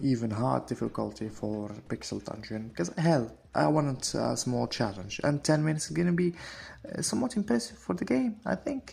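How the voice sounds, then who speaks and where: Music plays in the background. The speaker holds a moderate pace. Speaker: gaming video creator. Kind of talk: casual gameplay commentary. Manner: halting, stuttering a little.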